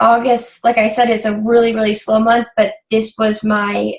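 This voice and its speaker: Somewhat breathy, a woman speaks at a fairly slow pace in a fairly high voice. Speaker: fitness business coach. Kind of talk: team coaching meeting. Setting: video call. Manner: hesitant, many fillers.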